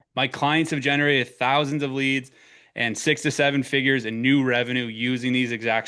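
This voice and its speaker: Talking at a fairly quick pace, a man with an Eastern Canadian accent keeps a medium pitch and fairly even intonation. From Eastern Canada. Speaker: marketing consultant for accounting firms. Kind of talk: webinar presentation. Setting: online webinar.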